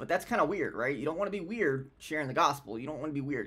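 Over a quiet background, a man speaks at a very fast pace with lively intonation. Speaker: vlogger sharing a faith story. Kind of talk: casual vlog chat. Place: home room. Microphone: webcam.

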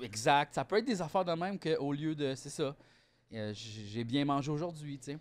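A man with a Quebec accent, fairly high in pitch, moderate in pace, with lively intonation. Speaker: comedian podcast co-host. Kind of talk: casual chat. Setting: studio. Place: home room. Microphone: studio mic.

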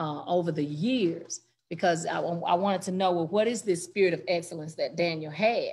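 A somewhat breathy woman at a moderate pace, with ordinary pitch variation. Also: fairly low pitch for a woman. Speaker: church member in Bible study. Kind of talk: Bible study discussion. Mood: earnest, reflective. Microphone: video call.

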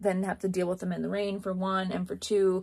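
Over a quiet background, a woman talks at a fairly quick pace. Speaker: rodeo barrel racer vlogger. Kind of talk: casual vlog chat. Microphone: phone near.

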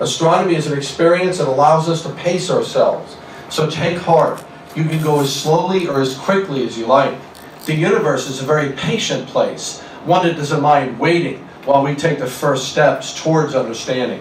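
Over light background noise and audible room echo, a man talks at a moderate pace with ordinary pitch variation. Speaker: presenter. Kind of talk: lecture. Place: hall.

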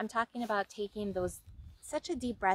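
A woman at a moderate pace with ordinary pitch variation, in a dry sound with no echo. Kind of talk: casual vlog chat. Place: waterside. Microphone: phone near.

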